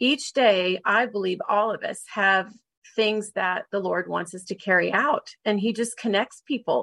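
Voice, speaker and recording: A woman with a normal speaking voice talks at a medium pitch and a moderate pace with ordinary pitch variation, in a dry, close sound with no echo and a quiet background. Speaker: podcast host and marriage mentor. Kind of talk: interview conversation.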